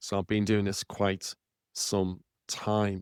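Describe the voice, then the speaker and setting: In a Liverpool accent, a man speaks at a fairly low pitch, recorded very cleanly against a silent background with a dry, close sound and no echo. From northern England, Liverpool. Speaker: podcast host and property author. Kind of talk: podcast monologue.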